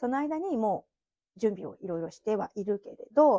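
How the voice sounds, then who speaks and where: Recorded with a dry, close sound with no echo against a quiet background, a woman speaks in a dark, mellow tone with lively intonation. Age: 40s. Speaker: podcaster, former care worker. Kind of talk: casual monologue.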